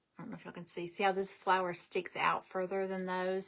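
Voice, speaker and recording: A woman speaks at a fairly quick pace. She has a slight Southern US accent. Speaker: craft livestream host. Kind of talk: casual livestream craft tutorial. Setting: live video stream. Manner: chatty, informal.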